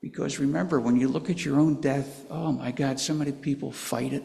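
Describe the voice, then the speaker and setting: A man speaks with a fairly high pitch. Audible room echo surrounds the voice. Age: 80s+. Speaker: pastor. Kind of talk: sermon.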